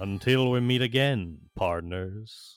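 Over faint music in the background, a man does a put-on character voice at a fairly slow pace.

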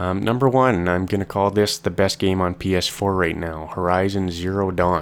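On a very clean recording with a silent background, a man with a very deep, low pitch speaks at a moderate pace with fairly even intonation and hardly any pauses. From Canada. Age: 20s. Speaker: podcast host. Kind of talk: casual solo podcast monologue. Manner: hesitant, many fillers.

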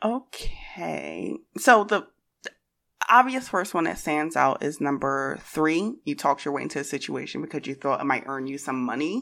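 A woman's very deep, low voice with vocal fry, very wide pitch swings, and a moderate pace. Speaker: tabletop roleplaying player. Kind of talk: actual play game session.

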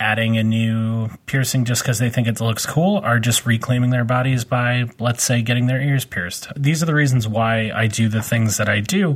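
An ordinary speaking voice from a man, medium pitch, moderate pace and ordinary pitch variation. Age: 30s. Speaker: podcast host, professional body piercer. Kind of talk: casual chat.

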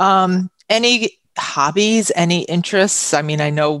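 A woman with a New York accent is heard in dry, close sound with no echo. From Long Island, New York. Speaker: radio host. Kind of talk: radio interview. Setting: radio studio.

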